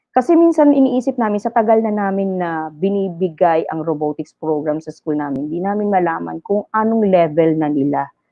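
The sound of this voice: A woman talks at a fairly quick pace with a fairly low pitch. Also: ordinary pitch variation.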